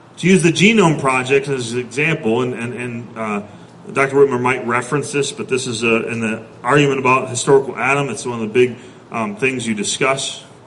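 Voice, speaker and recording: There is audible room echo and noticeable background noise as a man speaks at a fairly quick pace. His pitch is medium, with ordinary variation. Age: 30s. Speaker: pastor. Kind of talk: sermon.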